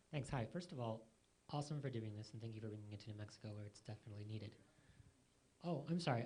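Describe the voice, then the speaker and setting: Talking at a very fast pace with long, frequent pauses, a man with an American accent uses a dark, mellow, somewhat breathy medium-pitched voice and lively intonation. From New York. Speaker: audience member asking a question. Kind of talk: question from the floor.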